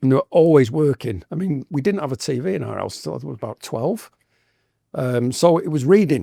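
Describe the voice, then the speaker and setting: A man with an English accent, fairly quick pace, lively intonation, dark, mellow tone and vocal fry, big swings in loudness, dry, close sound with no echo. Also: fairly high pitch for a man. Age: 60s. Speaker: tattoo artist. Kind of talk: podcast interview.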